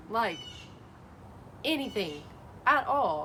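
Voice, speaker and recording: A high-pitched woman's voice with a Southern US accent. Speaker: Bible study vlogger. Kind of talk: casual talk to camera. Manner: hesitant, some stuttering.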